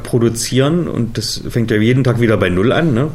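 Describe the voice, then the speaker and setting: A man of medium pitch is heard with audible room echo and noticeable background noise. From Germany, Harz region (Saxony-Anhalt). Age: 40s. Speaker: adventure park founder and managing director. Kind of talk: interview.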